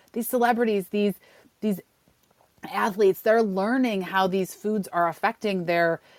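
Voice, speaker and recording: A woman with a plain, everyday voice speaks at a medium pitch with ordinary pitch variation, the sound dry and close with no echo. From Western New York. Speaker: cookbook author. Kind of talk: interview.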